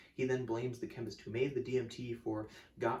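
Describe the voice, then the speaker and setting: Somewhat breathy and animated, a man speaks at a moderate pace. His pitch is medium. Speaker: music video essayist. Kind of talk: scripted video essay. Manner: casual, animated; occasional stutter.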